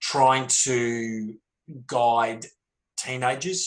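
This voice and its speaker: Speaking in an Australian accent, a man keeps his medium-pitched voice monotone and flat. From Melbourne, Australia. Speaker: author and former pro footballer. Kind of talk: panel discussion.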